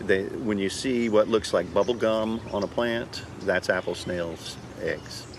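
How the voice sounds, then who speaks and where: With an American accent and fairly even intonation, a fairly low-pitched man talks at a fairly slow pace over noticeable background noise. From northern Louisiana, Shreveport. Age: 60s. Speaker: park ranger. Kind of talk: interview. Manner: halting, with frequent fillers and repeats.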